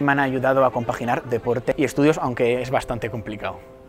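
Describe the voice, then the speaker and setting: Speaking at a fairly quick pace, a man with a fairly high pitch keeps his intonation fairly even over light background noise. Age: 22. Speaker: graduate student and triathlete. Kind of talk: interview testimony. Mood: calm, pleased. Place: hall. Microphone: lapel.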